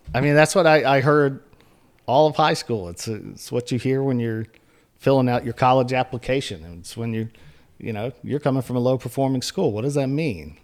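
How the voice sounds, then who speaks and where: Here a man uses a normal speaking voice at medium pitch and a fairly quick pace. His loudness swings widely. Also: ordinary pitch variation. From northeastern North Carolina, US. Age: 40s. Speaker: journalist and editor. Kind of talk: interview conversation.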